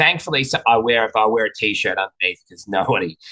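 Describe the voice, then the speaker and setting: An Australian-accented man talks at a fairly quick pace with a bright, sharp tone, a medium pitch and ordinary pitch variation. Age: middle-aged. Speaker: racehorse trainer. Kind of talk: casual chat.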